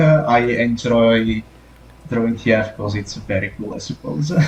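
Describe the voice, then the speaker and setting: A man speaks with an Italian accent. His pace is fairly slow and his pitch variation ordinary. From Italy. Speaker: TF artist, podcast guest. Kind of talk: casual podcast interview. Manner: halting, many fillers.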